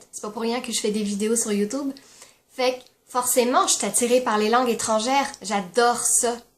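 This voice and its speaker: The speaker is a woman. Her pitch is high. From France. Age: 20s. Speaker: YouTuber. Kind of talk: casual talk to camera.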